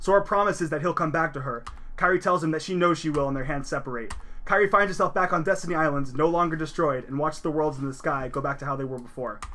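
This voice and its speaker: A man's fairly high, bright and sharp voice at a very fast pace, with ordinary pitch variation and audible room echo. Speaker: video game presenter. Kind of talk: slideshow recap lecture. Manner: casual, with fillers and self-corrections.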